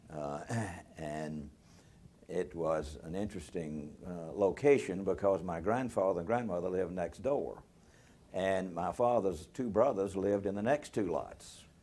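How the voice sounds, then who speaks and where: In a Southern US accent, a man with a very deep, low pitch talks at a fairly slow pace with ordinary pitch variation. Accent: US South (Tennessee). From Nashville, Tennessee. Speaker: retired lawyer. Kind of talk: oral history interview. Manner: halting, many fillers.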